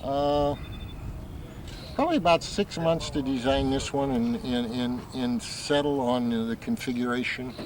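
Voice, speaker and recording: A man with an American accent speaks at medium pitch and a fairly slow pace, with ordinary pitch variation and noticeable background noise. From US Midwest, St. Louis area. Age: 50s. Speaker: model airplane flyer. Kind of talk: interview. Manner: casual, with many hesitations.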